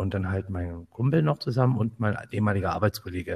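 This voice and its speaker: On a very clean recording with a silent background, a man speaks in a fairly low, somewhat breathy voice with a dark, mellow tone and ordinary pitch variation. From northern Hesse, Germany (Kassel). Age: 50s. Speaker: photographer, podcast co-host. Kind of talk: casual chat.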